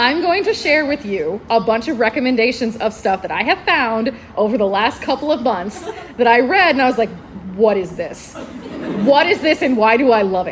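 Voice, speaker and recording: A woman speaks at a moderate pace in a high pitch, her tone animated and her pitch swinging very widely. Noticeable background noise runs beneath her voice. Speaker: librarian. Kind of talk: convention panel talk. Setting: stage with audience.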